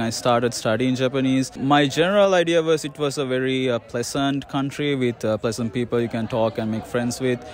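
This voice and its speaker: A man speaks at a fairly quick pace with medium pitch. His intonation is fairly even, with noticeable background noise. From Sri Lanka. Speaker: interviewee, foreign resident. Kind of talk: street interview.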